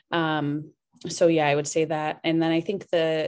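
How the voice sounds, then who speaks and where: The voice has a Midwestern US accent over a quiet background. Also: woman. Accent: US Midwest. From Iowa, US Midwest (Cedar Rapids). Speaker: business consultant and restaurant co-owner. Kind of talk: interview.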